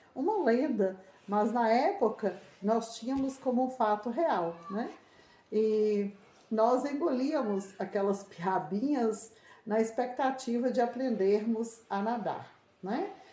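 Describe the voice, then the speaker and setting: A very slow, fairly high-pitched female voice with ordinary pitch variation and audible room echo. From Brazil, rural northeast Minas Gerais. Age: 60s. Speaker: interviewee. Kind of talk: interview.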